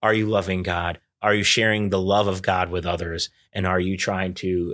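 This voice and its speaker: At a moderate pace, a man speaks in a very deep, low voice with monotone, flat intonation, recorded very cleanly against a silent background. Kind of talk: casual chat. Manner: loud.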